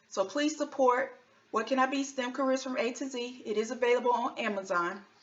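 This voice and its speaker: Speaking with an American accent, a woman uses a high pitch, ordinary pitch variation and a moderate pace. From US South, North Carolina. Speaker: engineer and children's author. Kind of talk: tutorial for children.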